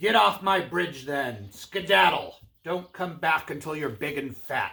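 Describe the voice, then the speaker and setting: A man growls in a put-on character voice. His pitch is fairly high and his pace fairly slow. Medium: read story. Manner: menacing, growling.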